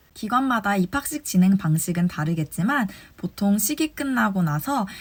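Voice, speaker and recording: On a very clean recording with a silent background, a woman speaks at a moderate pace in a somewhat breathy voice with very wide pitch swings. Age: 20s. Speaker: kindergarten teacher sharing advice. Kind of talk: advice talk to fellow teachers. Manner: formal.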